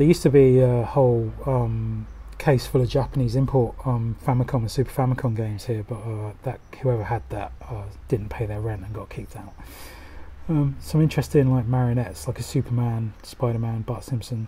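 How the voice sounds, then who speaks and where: A man's fairly quick speech with big swings in loudness and ordinary pitch variation. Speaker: retro game hunter vlogger. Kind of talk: casual vlog commentary. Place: shop. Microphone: phone near.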